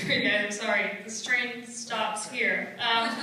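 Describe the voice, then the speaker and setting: Recorded with strong room echo and light background noise, a woman speaks at a fairly slow pace and a fairly high pitch with fairly even intonation. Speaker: stand-up comedian. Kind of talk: stand-up comedy set. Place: stage.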